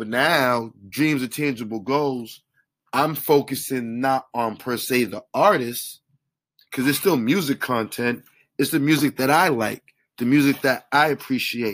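A man with an American accent has a normal speaking voice and ordinary pitch variation. The recording is very clean, with a silent background. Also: medium pitch for a man, fairly slow pace. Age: 30s. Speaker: track coach and blogger. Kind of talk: solo podcast monologue. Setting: home basement recording.

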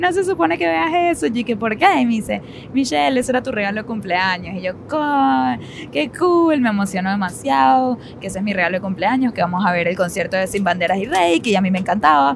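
A woman speaks at a fairly quick pace with very wide pitch swings. Noticeable background noise is present. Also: medium pitch for a woman. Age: 30s. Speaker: podcast co-host. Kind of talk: casual chat.

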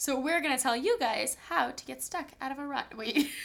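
Her pitch high, a woman talks at a fairly quick pace. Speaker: podcast co-host. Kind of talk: casual banter chat.

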